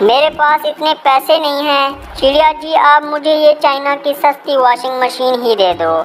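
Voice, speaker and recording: Clear music plays behind a cartoonish character voice. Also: moderate pace. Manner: harried.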